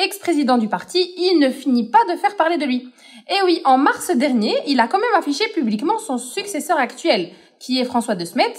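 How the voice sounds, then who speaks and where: Her pitch is high and swings very widely. The woman keeps a moderate pace. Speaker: podcast co-host. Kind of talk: scripted explainer podcast.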